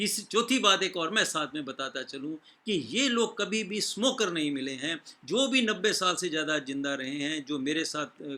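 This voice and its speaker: At a moderate pace, a man speaks in a fairly high pitch with a bright, sharp tone and very wide pitch swings. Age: 60s. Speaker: doctor. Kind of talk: health talk. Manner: halting.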